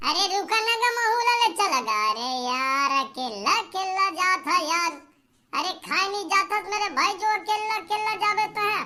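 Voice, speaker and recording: A cartoonish character voice at extremely high pitch, moving at a moderate pace. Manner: chatty, folksy, teasing.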